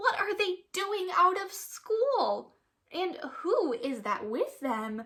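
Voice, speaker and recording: A woman uses a raspy, put-on character voice at an extremely high pitch. She talks at a very slow pace with very wide pitch swings. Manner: astonished.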